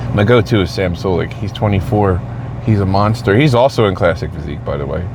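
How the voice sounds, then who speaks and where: Very fast speech from a man with an American accent, fairly low in pitch and lively in intonation, over noticeable background noise and audible room echo. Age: 40s. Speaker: vlogger, shift worker and amateur bodybuilder. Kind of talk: casual monologue vlog. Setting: in a car after a shift.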